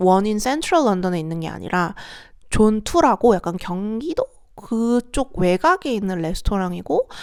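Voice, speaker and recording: A medium-pitched woman's voice at a fairly slow pace, in a very clean recording with a silent background. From South Korea. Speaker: vlogger. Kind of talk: casual vlog monologue.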